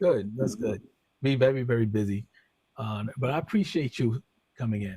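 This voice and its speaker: A man speaks at a moderate pace and medium pitch, somewhat breathy, with a dark, mellow tone and ordinary pitch variation. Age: 50s. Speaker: music label owner and radio DJ. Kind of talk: casual interview chat. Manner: halting, many fillers.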